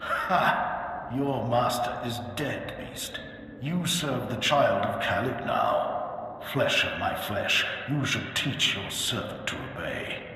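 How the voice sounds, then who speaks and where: A man's put-on character voice at a very slow pace, drenched in strong echo. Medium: machinima. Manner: solemn, commanding.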